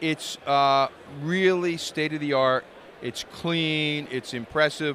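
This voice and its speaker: A man with a fairly high pitch and a bright, sharp tone speaks at a very slow pace with fairly even intonation. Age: 60s. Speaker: cannabis lawyer. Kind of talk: interview. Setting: industry conference. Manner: halting, many fillers.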